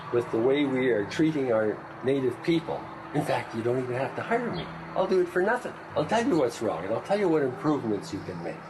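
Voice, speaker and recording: Very wide pitch swings mark a man's medium-pitched voice as he talks at a very fast pace against noticeable background noise. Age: 60s. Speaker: workshop participant. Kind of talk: heated debate.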